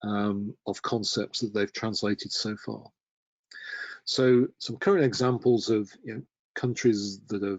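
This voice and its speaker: Here a man speaks with a British accent at a fairly slow pace. His intonation is fairly even. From UK. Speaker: terminology standards presenter. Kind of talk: webinar presentation.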